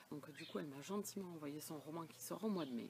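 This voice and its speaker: Soft-spoken and moderately paced, a woman talks in a very deep, low pitch. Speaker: book vlogger. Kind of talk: casual vlog chat.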